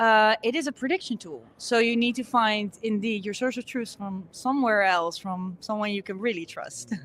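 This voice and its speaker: A woman with a Dutch accent and a fairly high pitch speaks at a moderate pace with ordinary pitch variation and hardly any pauses. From Netherlands. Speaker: conference speaker. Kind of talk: interview. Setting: conference.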